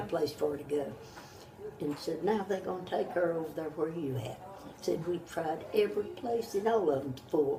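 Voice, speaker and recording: A woman with a Southern US accent speaks at a moderate pace in a fairly low pitch, her intonation lively over noticeable background noise. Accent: Southern American. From North Carolina. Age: 80s+. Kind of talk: interview answer.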